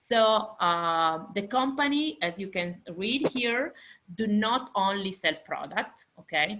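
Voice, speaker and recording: A woman with an Italian accent speaks very slowly at medium pitch, her tone bright and sharp and her intonation lively. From Italy. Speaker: fashion industry lecturer. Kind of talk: lecture. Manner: halting.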